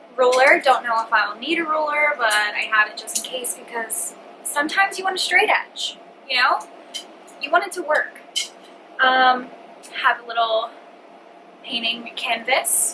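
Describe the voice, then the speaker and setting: A woman with a high pitch uses a raised, projected voice, broken by long, frequent pauses. Noticeable background noise fills the recording. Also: lively intonation, moderate pace, big swings in loudness. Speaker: vlogger. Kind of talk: casual chat. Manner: animated.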